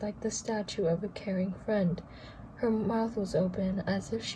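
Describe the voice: In this plain reading aloud, the intonation holds fairly even.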